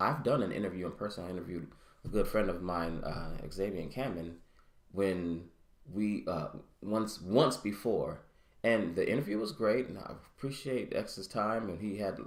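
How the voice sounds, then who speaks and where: A man mumbles at a moderate pace and fairly low pitch. His ordinary pitch variation comes through audible room echo. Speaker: podcaster and vlogger. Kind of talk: casual solo monologue. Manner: mumbling; halting.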